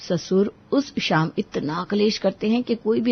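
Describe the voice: Her medium-pitched voice carries a slightly husky edge and vocal fry, and this woman uses ordinary pitch variation.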